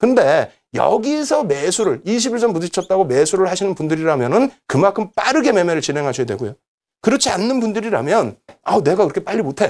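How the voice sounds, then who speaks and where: This man talks fairly quickly in a high voice. His pitch rises and falls very widely. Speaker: stock trading instructor. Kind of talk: lecture. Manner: fast; animated.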